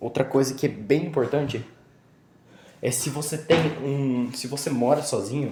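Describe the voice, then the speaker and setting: This man's voice sits at a medium pitch with a dark, mellow tone. He sounds somewhat breathy, and his intonation stays fairly even. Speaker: vlogger. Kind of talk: casual vlog. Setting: at home. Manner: casual, halting.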